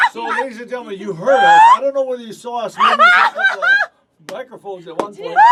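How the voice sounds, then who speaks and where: Raised and projected, a man's voice races at a very fast pace with hardly any pauses, extremely high in pitch, with very wide pitch swings and big swings in loudness. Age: 60s. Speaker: radio host. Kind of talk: casual chat. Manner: halting.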